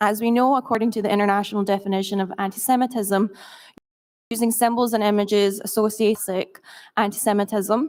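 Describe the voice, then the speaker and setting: A woman's very fast, flat and monotone speech in a fairly high pitch, over a quiet background. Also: very even loudness. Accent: American. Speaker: media monitoring organization representative, conference speaker; conference speaker. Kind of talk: conference presentation. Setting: stage at conference. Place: hall. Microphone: podium.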